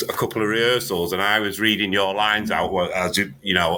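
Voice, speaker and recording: A man speaks over noticeable background noise. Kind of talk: casual conversation.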